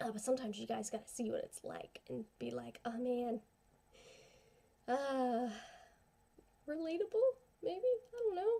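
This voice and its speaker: A woman mumbles her words. She leaves long, frequent pauses. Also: moderate pace. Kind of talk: casual talk to camera. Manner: mumbly in parts; rambling, informal.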